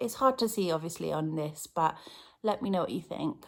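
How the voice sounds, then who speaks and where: A woman speaks in an English accent at a fairly quick pace. Her medium-pitched voice has lively intonation. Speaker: cross-stitch vlogger. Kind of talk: casual chat. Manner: louder than usual.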